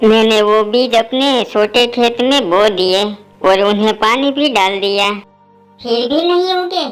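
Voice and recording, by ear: At a fairly slow pace, a female-sounding cartoonish character voice with a fairly high pitch plays over faint music in the background.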